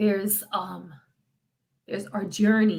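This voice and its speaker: A woman's fairly high, somewhat breathy voice. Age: 50s. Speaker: freestyle singer. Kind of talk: casual livestream chat. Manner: halting.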